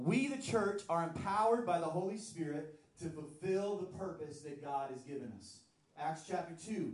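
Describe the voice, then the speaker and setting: A high-pitched man with lively intonation and big swings in loudness, over noticeable background noise. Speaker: pastor. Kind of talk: sermon. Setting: church. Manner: fast.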